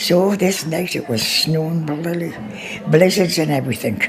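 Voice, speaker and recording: Moderate-paced speech under noticeable background noise. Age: 80s+. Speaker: village resident. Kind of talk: oral history storytelling.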